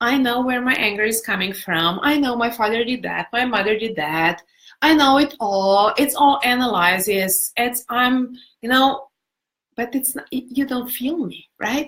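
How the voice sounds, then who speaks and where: A woman with a non-native accent, high pitch, ordinary pitch variation and a fairly slow pace. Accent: foreign, non-native English. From Europe, non-English-speaking country. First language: not English. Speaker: personal development coach. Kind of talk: live-stream talk and Q&A. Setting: Facebook live video. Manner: warm, animated.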